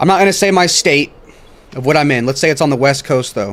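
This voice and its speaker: A man rattles along at a very fast pace, intonation lively, with noticeable background noise around him. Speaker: streamer and electrician. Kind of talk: casual livestream chat. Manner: halting.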